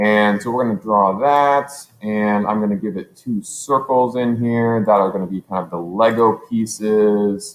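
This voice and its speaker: This man has an ordinary speaking voice with a fairly low pitch. He speaks with hardly any pauses. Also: fairly slow pace. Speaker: teacher. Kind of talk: tutorial. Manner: casual, thinking aloud with fillers.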